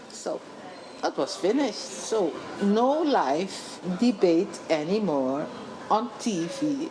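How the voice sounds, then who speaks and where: A woman speaks very slowly at a medium pitch, with very wide pitch swings and long, frequent pauses, over noticeable background noise and audible room echo. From Suriname. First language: Dutch. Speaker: journalist and author. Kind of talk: interview.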